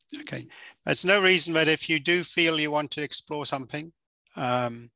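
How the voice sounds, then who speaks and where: The tone is bright and sharp, the pace moderate, the pitch variation ordinary, and the sound dry with no echo over a quiet background. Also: man, fairly high pitch for a man. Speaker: course instructor. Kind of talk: lecture. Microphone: headset.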